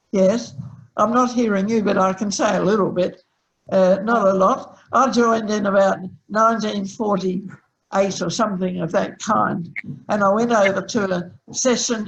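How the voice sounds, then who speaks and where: Speaking with an Australian accent, a woman uses a somewhat breathy, medium-pitched voice at a fairly slow pace with fairly even intonation. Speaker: early community member. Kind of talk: oral history recollection. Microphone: sound problem.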